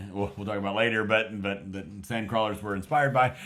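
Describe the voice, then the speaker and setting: This is a man's voice. He speaks with a West Texas accent. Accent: mild West Texas American. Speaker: film review podcast co-host. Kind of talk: casual film review chat. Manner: halting, many fillers and restarts.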